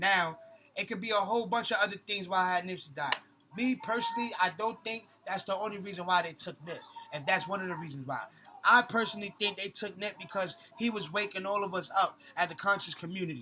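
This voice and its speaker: With a raised, projected voice, a man with a high pitch and ordinary pitch variation speaks at a very fast pace over noticeable background noise. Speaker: conscious community vlogger. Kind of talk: vlog monologue. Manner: animated.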